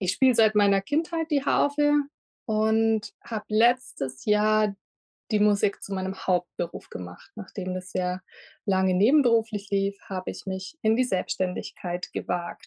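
A woman with an unremarkable speaking voice talks at a fairly slow pace and medium pitch with lively intonation. The sound is dry and close with no echo, over a quiet background. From Lindau, Lake Constance, Bavaria. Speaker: harpist. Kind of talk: interview.

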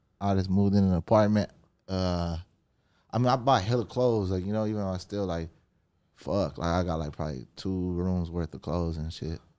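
This man has a very deep, low pitch. His tone is dark and mellow, with ordinary pitch variation. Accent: Southern California. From Southern California. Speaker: rapper. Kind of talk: casual interview chat.

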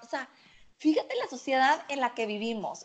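A high-pitched woman with ordinary pitch variation. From Mexico, Monterrey. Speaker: nutritionist. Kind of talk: casual chat.

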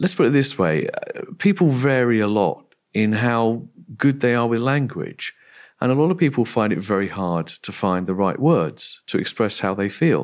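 In an English accent, a man talks at a moderate pace with a medium pitch and very wide pitch swings. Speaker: philosopher. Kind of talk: interview. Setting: remote call.

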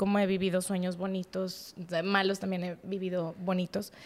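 A woman speaks at a medium pitch. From Mexico, Monterrey. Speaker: podcast guest. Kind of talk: testimony.

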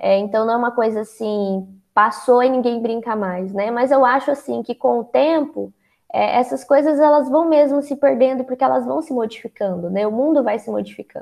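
A woman with a high voice talks at a moderate tempo, her pitch varying in an ordinary way. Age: 20s. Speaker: psychologist and author. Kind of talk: interview.

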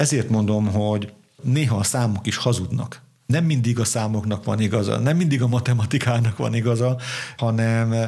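Somewhat breathy and dark, mellow in tone, a man's medium-pitched voice moves at a moderate pace with ordinary pitch variation. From southern Slovakia, Bodrogköz (Hungarian minority). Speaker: bishop. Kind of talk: interview. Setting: parish house.

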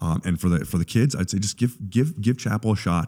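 Very fast and lively in intonation, a man talks in a dark, mellow tone with vocal fry. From Canada. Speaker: sports chaplain. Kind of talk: casual interview. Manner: halting.

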